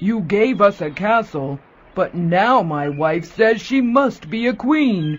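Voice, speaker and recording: This is a put-on character voice pitched fairly high. It moves at a fairly slow pace. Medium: read story. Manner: gentle, meek.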